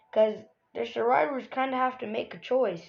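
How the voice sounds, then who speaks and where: Over music in the background, a woman talks at a fairly high pitch. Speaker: gaming youtuber. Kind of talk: casual commentary video. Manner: casual, halting with fillers.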